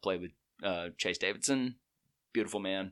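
A man with an Alabama accent speaks in a very deep, low pitch with fairly even intonation, on a very clean recording with a silent background. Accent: US Southern (Alabama). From Alabama, Chelsea in Shelby County. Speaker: musician. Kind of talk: casual chat.

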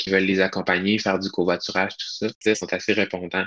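Monotone, flat intonation in a Quebec accent, bright and sharp in tone. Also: man. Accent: Québécois French. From Quebec, Charlevoix region. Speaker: hiking challenge organizer. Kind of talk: casual interview.

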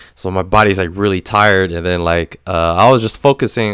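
A very clean recording with a silent background, ordinary pitch variation, a dry, close sound with no echo, and a moderate pace. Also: man. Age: 20s. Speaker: solo podcast host. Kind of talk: casual monologue. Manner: halting, many fillers.

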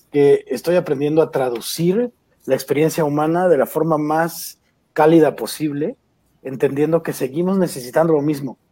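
A dark, mellow tone in a man's fairly high voice. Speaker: stand-up comedian. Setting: video call. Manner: animated, jokey, playful.

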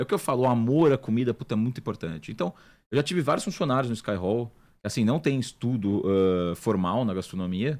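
An unremarkable speaking voice of a man at a medium pitch, fairly quick in pace with lively intonation, on a very clean recording with a silent background. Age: 20s. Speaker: chef and restaurant owner. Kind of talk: casual interview chat.

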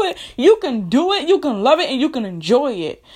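In an animated tone, a woman speaks at a moderate pace with very wide pitch swings. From US. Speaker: podcast host. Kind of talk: motivational monologue.

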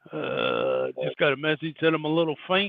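This man speaks at a fairly high pitch. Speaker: podcast co-host, truck driver. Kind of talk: casual interview. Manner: faint, quiet on mic.

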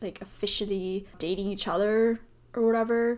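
A woman with an American accent speaks at a medium pitch in a plain, everyday voice, with fairly even intonation. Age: 20s. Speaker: solo podcast host. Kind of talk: casual monologue.

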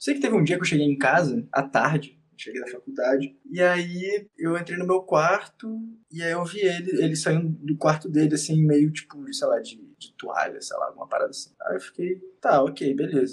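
The delivery comes at a moderate pace with lively intonation. Loudness swings widely. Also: man, high pitch for a man. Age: 20s. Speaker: actor. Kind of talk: casual chat.

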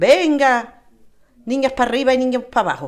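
A high-pitched woman with an Andalusian accent. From Andalusia, Spain. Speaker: interviewee, local resident. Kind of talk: casual interview. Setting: home terrace.

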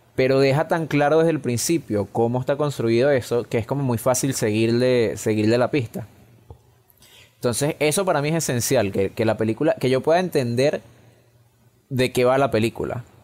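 A man talks in an ordinary speaking voice at medium pitch and a moderate pace. His loudness stays very even, with ordinary pitch variation. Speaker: film podcast co-host. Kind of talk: casual chat. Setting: recording from home during quarantine.

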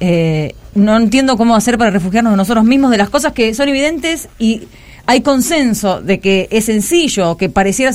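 A woman with a normal speaking voice, fairly high in pitch, at a fairly quick pace with ordinary pitch variation. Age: 50s. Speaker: radio columnist. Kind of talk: casual radio chat.

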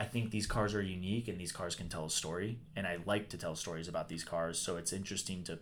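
A man talks at a very fast pace with a very deep, low pitch and ordinary pitch variation, and room echo can be heard. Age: 20s. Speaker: classic car dealer. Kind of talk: casual chat. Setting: car workshop.

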